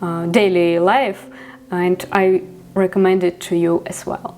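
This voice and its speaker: A Ukrainian accent amid noticeable background noise. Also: woman. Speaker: vlogger. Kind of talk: vlog monologue. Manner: halting, many fillers.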